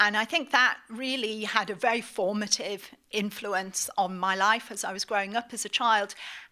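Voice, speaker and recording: A woman with a British accent speaks at a moderate pace in a bright, sharp, fairly high voice. Her intonation is fairly even, with hardly any pauses. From northeast England, Middlesbrough. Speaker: magazine editor and lecturer. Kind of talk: lecture.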